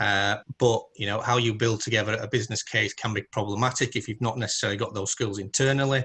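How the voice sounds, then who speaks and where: A man with a northern English accent, fairly low-pitched and bright and sharp in tone, flat and monotone, at a very fast pace against a quiet background. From northern England. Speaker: independent automation consultant. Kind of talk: presentation in virtual round table. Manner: hesitant with many fillers.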